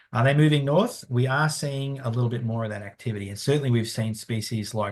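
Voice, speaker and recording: Against a quiet background, a man with an Australian accent speaks at a fairly quick pace in a somewhat breathy, medium-pitched voice with ordinary pitch variation. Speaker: conservation scientist. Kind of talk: webinar Q&A. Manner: halting, many fillers.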